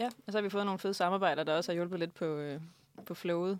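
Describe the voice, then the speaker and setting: Fairly even intonation marks a woman's voice, pitched fairly low. She talks at a fairly quick pace. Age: 20s. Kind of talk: casual interview. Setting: studio.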